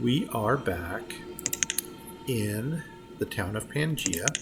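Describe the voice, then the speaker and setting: A soft-spoken voice comes through with music playing in the background. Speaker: gaming youtuber. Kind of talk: gameplay commentary. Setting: home recording. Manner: casual.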